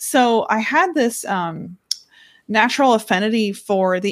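A woman speaks in a normal speaking voice, pitched fairly high. Her pitch varies in an ordinary way. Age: 20s. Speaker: author and company CEO. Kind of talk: interview.

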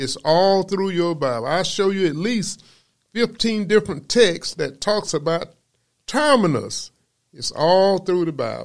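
A man with an American accent speaks at a fairly slow pace in a high voice with lively intonation, on a very clean recording with a silent background. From US South, Georgia. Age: 70s. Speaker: preacher. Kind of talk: sermon.

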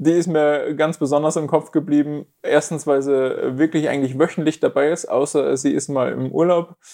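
Against a quiet background, a man talks at a moderate pace in a fairly high pitch, his tone dark and mellow and his intonation fairly even. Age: 20s. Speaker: fitness coach and pain therapist. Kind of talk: interview.

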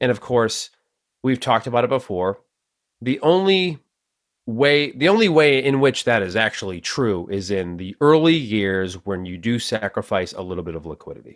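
A man with a Boston accent speaks at medium pitch and a moderate pace, with very wide pitch swings and big swings in loudness. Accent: Boston, Massachusetts. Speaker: podcast host. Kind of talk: casual conversation about finance.

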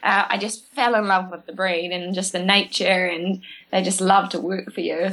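A woman with a New Zealand accent speaks at a moderate pace in a medium pitch, her bright, sharp tone delivered with flat, monotone intonation. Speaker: horse trainer. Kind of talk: interview.

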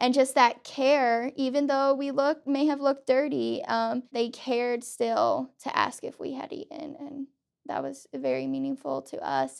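A woman at a fairly slow pace with hardly any pauses and big swings in loudness. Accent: American. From Pennsylvania. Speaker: student. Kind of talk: casual chat.

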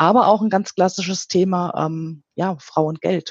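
A woman's plain, everyday voice at medium pitch, with ordinary pitch variation. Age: 50s. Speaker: quality management consultant, chemist. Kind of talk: interview. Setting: phone call.

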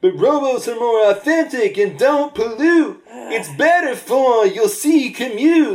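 In a put-on character voice, the high-pitched, sing-song delivery moves at a fairly slow pace with hardly any pauses. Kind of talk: comic overacting. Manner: sing-song, rhyming like a folk singer.

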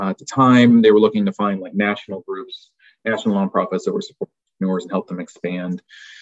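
A man's very fast speech with a Midwestern American accent and big swings in loudness, in a dry, close sound with no echo. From rural Kansas, US. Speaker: foundation program officer. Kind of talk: interview.

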